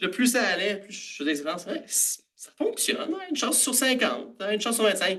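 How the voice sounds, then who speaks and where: With a Montreal accent, the speaker has a bright, sharp tone and moves at a moderate pace with very wide pitch swings. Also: man. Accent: Montreal Quebec French. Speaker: food science graduate and startup cofounder. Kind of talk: conference presentation. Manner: casual with many filler hesitations.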